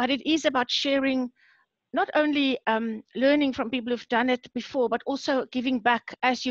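Heard at a moderate pace with fairly even intonation, the voice sounds dry with no echo against a quiet background. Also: woman. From South Africa. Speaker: science communication lecturer. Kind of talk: webinar presentation. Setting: video call. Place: home room. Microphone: headset.

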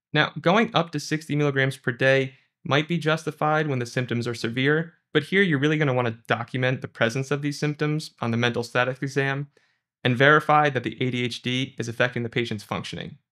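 The voice has a bright, sharp tone and ordinary pitch variation at a fairly quick pace. The background is quiet. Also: man. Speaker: presenter. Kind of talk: lecture. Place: studio.

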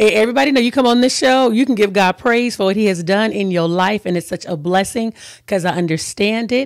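Very fast, animated speech from a woman with an American accent, ordinary pitch variation, dry sound with no echo, quiet background. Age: 50s. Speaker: talk show host. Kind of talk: interview. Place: studio. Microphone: studio mic.

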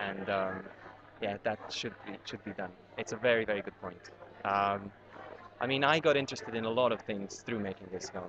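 A man with a Serbian accent speaks at a moderate pace and fairly low pitch with ordinary pitch variation, the sound dry with no echo and noticeable background noise behind him. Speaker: documentary filmmaker. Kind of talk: interview. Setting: on location at a university screening. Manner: halting, many fillers. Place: hall. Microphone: webcam.

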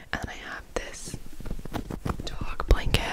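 A woman whispering at a fairly slow pace. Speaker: room tour host. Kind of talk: casual vlog chat. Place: home room. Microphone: handheld.

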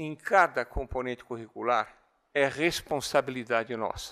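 A man's bright, sharp tone comes through against a quiet background. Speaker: physics and education professor; education professor. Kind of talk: lecture. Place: hall. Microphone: speaking very close to the mic; podium.

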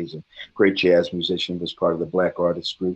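A man with a very deep, low voice talks at a fairly quick pace against a quiet background. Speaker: interview guest. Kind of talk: interview answer. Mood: warm, laughing storytelling. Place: home room. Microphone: video call.

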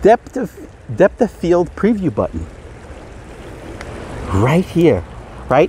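A man's voice in a dry sound with no echo, over light background noise. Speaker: film photography vlogger. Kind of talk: casual vlog chat. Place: open country. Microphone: phone near.

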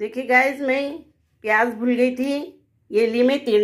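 Against a quiet background, a woman with a high pitch speaks at a fairly slow pace with ordinary pitch variation. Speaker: home cook vlogger. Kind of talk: cooking tutorial. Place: kitchen. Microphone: phone near.

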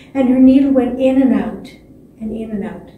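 Here a woman speaks in a high voice. The room echo is audible. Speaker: storyteller. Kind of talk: storytelling performance. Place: stage.

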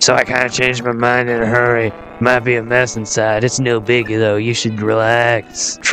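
Putting on a raspy character voice, a man talks at a moderate pace and medium pitch over clear background noise.

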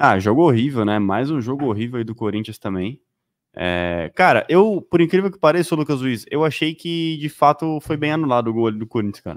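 Against a quiet background, a man's pitch swings very widely. The sound is dry, with no echo. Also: moderate pace, big swings in loudness. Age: 20s. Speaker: football commentator. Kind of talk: live sports talk show. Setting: studio. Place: studio. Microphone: studio mic.

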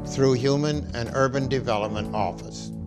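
Fairly slow male speech, clear music playing behind it. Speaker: presenter. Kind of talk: documentary narration. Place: studio.

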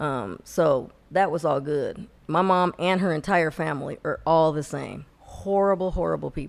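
At a moderate pace, a woman speaks with hardly any pauses. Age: 50s. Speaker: podcast co-host. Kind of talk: casual chat. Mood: animated gossip, storytelling. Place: studio. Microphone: studio mic.

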